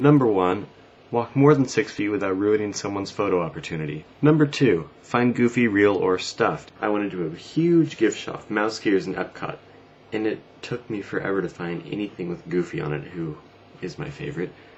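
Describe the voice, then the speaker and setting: A man mumbles at a fairly quick pace in a Western American accent. His fairly low pitch moves in very wide swings. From US West Coast. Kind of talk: casual talk to camera. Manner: mumbling.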